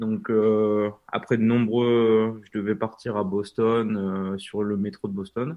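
A man's fairly low voice, very slow and monotone, with hardly any pauses. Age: 20s. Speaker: train YouTuber and author. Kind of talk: interview. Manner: halting.

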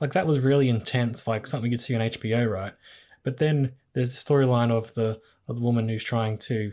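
With an Australian accent, a man speaks at a fairly quick pace, his dark, mellow tone sitting at a medium pitch with fairly even intonation. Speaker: podcast host. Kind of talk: casual chat.

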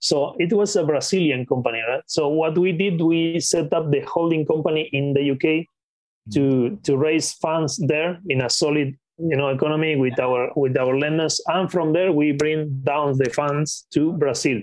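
Speaking with a Spanish accent, a man keeps a moderate pace with hardly any pauses and a fairly high pitch. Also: ordinary pitch variation. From Patagonia, Argentina. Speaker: acquisitions investor. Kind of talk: interview.

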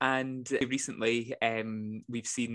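Over a quiet background, a man with a Scottish accent speaks at a medium pitch with fairly even intonation. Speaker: podcast host. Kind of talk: casual interview chat.

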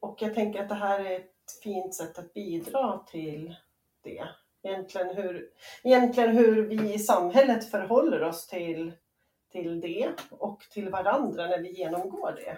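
Her loudness swinging widely, a woman speaks fairly slowly at a medium pitch with ordinary pitch variation. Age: 40s. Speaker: entrepreneur and bereaved mother. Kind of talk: personal testimony interview. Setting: remote call. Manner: halting, hesitant.

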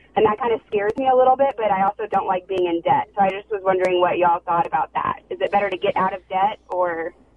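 A woman of medium pitch talks at a very fast pace with hardly any pauses. Her pitch variation is ordinary, and noticeable background noise is present. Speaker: caller. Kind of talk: call-in question. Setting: phone call. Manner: hesitant, frequent ums.

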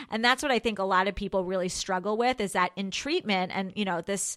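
A woman with an American accent and an unremarkable speaking voice talks at a fairly quick pace with fairly even intonation. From New York. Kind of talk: casual chat.

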